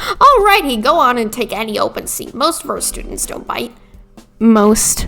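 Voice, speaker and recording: With faint music in the background, a female-sounding put-on character voice speaks at a high pitch and a moderate pace. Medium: game stream. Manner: mild, folksy, slightly befuddled.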